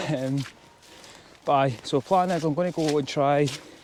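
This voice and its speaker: Amid noticeable background noise, a man speaks at a fairly slow pace and a fairly high pitch. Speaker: hill walking vlogger. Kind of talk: casual vlog narration while hiking. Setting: outdoors on hills.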